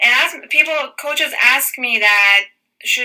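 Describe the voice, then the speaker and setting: Speaking at a moderate pace, a woman with a non-native accent uses a fairly high pitch. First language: not English. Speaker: fitness business coach. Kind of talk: training call.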